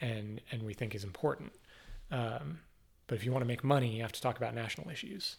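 Very fast and with lively intonation, a man at medium pitch speaks with vocal fry. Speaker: podcast host, local politics. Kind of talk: casual interview conversation. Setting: home studio.

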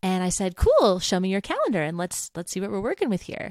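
With lively intonation and an animated tone, a woman talks at a very fast pace in a dry, close recording with no echo but noticeable background noise. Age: 30s. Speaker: podcast host and voice teacher business coach. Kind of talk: solo podcast monologue.

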